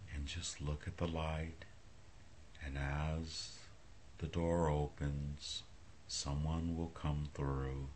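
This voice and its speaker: A soft-spoken man with a very deep, low voice talks very slowly in a flat monotone, somewhat breathy. Long pauses come often, and light background noise is present. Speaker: hypnotist. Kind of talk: hypnosis induction. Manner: slow, soft-spoken. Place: home room. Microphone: phone near.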